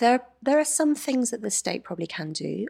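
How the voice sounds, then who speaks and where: With an English accent, a woman speaks with vocal fry and very wide pitch swings on a very clean recording with a silent background. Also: dry, close sound with no echo. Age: 30s. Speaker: feminist author and columnist. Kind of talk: interview.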